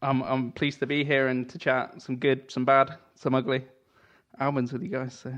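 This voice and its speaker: A man in an English accent, medium-pitched and monotone with flat intonation, at a moderate pace. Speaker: guitarist and musician. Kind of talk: casual chat. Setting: video call.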